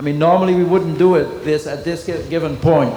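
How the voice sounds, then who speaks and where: Speaking at a fairly quick pace, a man talks with a Dutch accent. Audible room echo and noticeable background noise fill the recording. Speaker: dressage trainer. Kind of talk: clinic demonstration commentary.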